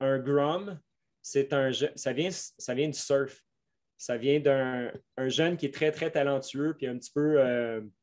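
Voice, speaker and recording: Speaking very slowly with fairly even intonation, a man with a Quebec accent is heard over a quiet background. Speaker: mountain bike coach. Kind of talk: podcast interview. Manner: slow, careful.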